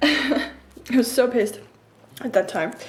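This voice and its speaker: Speaking very slowly with an Estonian accent, a woman is heard over noticeable background noise. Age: 20s. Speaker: YouTuber. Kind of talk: casual Q&A vlog.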